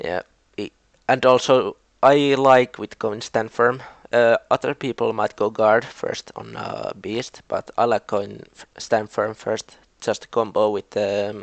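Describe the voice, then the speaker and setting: A man with a Finnish accent speaks at a fairly slow pace with big swings in loudness, the sound dry and close with no echo. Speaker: video game league commentator. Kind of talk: casual commentary recap. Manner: halting.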